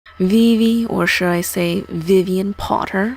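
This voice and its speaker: A woman's put-on character voice, drawling at a fairly slow pace, with medium pitch and fairly even intonation. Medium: read story. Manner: drawling, disdainful.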